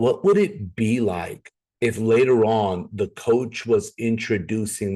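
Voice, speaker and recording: Very slow and fairly even in intonation, a man speaks at a fairly low pitch in a dark, mellow tone. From Minnesota (Brooklyn Park / North Minneapolis). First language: not English (parents East African and Middle Eastern). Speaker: network marketing presenter. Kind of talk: opportunity presentation testimony.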